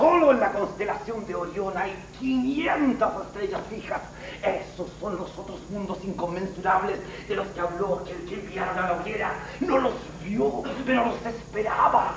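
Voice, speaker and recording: Both noticeable background noise and audible echo from the room are present in this recording. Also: moderate pace. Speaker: stage actor playing a scientist. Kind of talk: theatrical monologue. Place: stage. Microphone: old recording.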